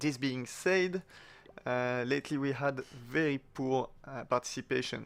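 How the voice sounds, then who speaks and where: The man's pitch sits in the medium range. He talks with a non-native accent. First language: not English. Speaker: gaming clan leader / video commentator. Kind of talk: gameplay commentary. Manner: hesitant, many fillers. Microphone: new microphone, sound slightly better.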